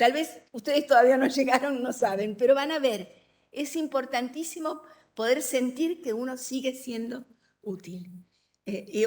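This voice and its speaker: This woman's voice is high in pitch. She talks at a moderate pace. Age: 70s. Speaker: writer. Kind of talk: public conversation.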